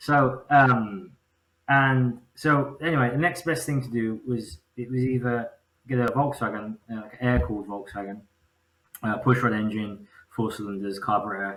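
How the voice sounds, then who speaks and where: A man with an English accent talks at a moderate pace, keeping a medium pitch and ordinary pitch variation. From England, Birmingham area. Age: 30s. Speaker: engine builder. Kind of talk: casual chat.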